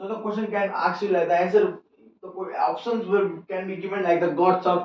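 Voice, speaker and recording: Audible room echo around a high-pitched male voice at a moderate speed. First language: not English. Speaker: biology teacher. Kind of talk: lecture. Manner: repetitive, explanatory.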